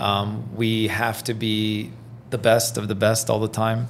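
A man speaks at a fairly slow pace in a monotone, flat intonation. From Iran, raised in Belgium and Toronto. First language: French. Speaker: realtor. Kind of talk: casual interview.

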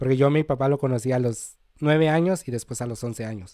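This man has a normal speaking voice of medium pitch, with fairly even intonation and a moderate pace, on a very clean recording with a silent background. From Mexico, Cholula, Puebla. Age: 20s. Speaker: immigrant sharing life story. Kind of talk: podcast interview, personal story. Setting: studio.

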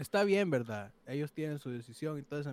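At a moderate pace, a plain, everyday voice comes through in a dry, close sound with no echo. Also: man. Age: 20s. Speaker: discussion panelist. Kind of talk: casual chat.

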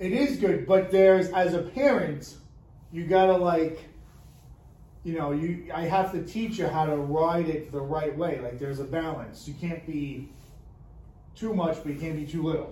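A high-pitched man speaks with long, frequent pauses. Audible room echo surrounds his voice. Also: ordinary pitch variation, moderate pace. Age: 40s. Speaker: podcast co-host. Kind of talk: casual chat.

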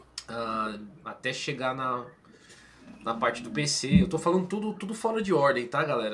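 Audible room echo surrounds a man's voice. He speaks at a fairly slow pace with lively intonation. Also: medium pitch for a man. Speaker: gaming channel host. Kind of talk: casual chat. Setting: live stream.

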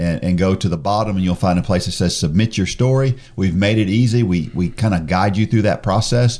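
This man has a dark, mellow tone and a fairly low pitch. He talks at a fairly quick pace with hardly any pauses and very even loudness. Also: ordinary pitch variation. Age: 50s. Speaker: podcast host. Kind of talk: casual podcast conversation.

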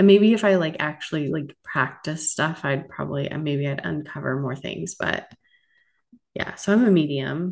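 The voice carries vocal fry, moving at a moderate pace with ordinary pitch variation. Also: woman, very deep, low pitch for a woman. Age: 40s. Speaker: podcast co-host. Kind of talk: casual chat.

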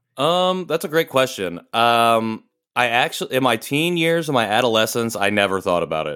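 A man with a Midwestern accent has a bright, sharp tone and very wide pitch swings. The recording is very clean with a silent background. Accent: general American, Midwestern. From US Midwest. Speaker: podcast co-host and nonprofit founder, Korean adoptee. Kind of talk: casual interview conversation.

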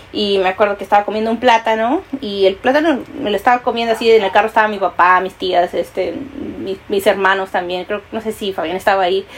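Fairly quick speech from a woman over noticeable background noise. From Peru. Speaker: podcast co-host. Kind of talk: casual chat.

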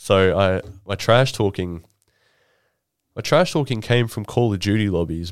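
A man's fairly low voice at a moderate pace, with ordinary pitch variation and long, frequent pauses, on a very clean recording with a silent background. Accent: Australian. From Queensland, Australia (Rockhampton). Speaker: podcast host. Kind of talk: casual chat.

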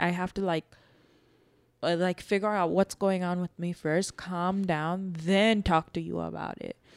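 A woman's ordinary speaking voice, medium in pitch, at a fairly slow pace with fairly even intonation, in a very clean recording with a silent background and a dry, close sound with no echo. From New York, born in Bangladesh. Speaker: podcast co-host, mother. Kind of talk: casual chat.

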